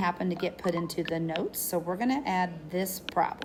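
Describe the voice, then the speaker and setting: Audible room echo colors a woman's medium-pitched voice, which has ordinary pitch variation. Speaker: math teacher. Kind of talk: lecture. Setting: recorded video lesson. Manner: animated.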